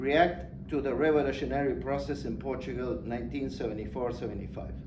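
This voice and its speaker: Audible room echo and noticeable background noise around a man at a moderate pace. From Argentina. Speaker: academic speaker. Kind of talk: conference talk. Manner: formal.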